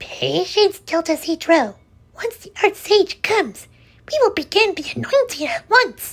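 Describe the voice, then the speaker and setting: A man uses a put-on character voice, squeaky and extremely high in pitch. He talks at a moderate pace. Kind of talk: archaic formal speech. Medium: read story. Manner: firm yet kindly.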